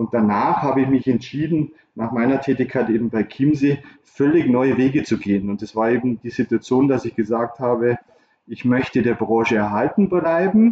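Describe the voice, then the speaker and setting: With a normal speaking voice, a man speaks at a moderate pace in a medium pitch, varying it in an ordinary way. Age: 50s. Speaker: recruitment consultant. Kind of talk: interview.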